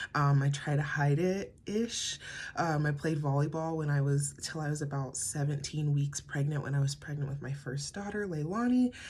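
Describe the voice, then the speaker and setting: Somewhat breathy speech with an American accent, ordinary pitch variation and a moderate pace. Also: woman. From US, Colorado (Pueblo). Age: 20s. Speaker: podcaster, mom. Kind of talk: casual personal monologue. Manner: halting, many fillers.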